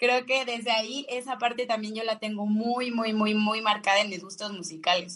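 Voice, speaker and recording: A woman talks at a moderate pace with hardly any pauses, fairly high pitch and fairly even intonation, in a normal speaking voice. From Mexico, Salamanca, Guanajuato. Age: 30s. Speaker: singer-songwriter. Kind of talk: radio interview.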